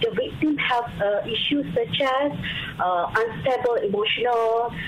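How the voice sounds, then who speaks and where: Over noticeable background noise and audible room echo, a woman with a Malaysian accent speaks very slowly in a high pitch with very wide pitch swings. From Malaysia, Kelantan. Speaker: government psychologist. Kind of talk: radio interview. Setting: phone call. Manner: halting.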